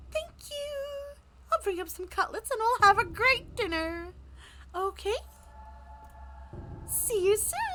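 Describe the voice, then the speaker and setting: An extremely high-pitched, put-on character voice at a fairly slow pace, with long, frequent pauses and clear background noise. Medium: game stream. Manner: menacing.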